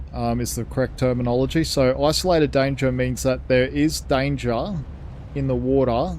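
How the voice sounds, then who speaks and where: This man talks at a moderate pace. His accent is Australian. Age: 70s. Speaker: gaming streamer. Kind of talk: live gameplay commentary. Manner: animated.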